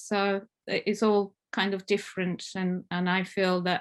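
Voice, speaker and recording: A woman with an Italian accent and medium pitch speaks in a monotone, flat way against a quiet background. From northern Italy, Alps. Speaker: family therapist. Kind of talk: conference talk. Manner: halting, many fillers.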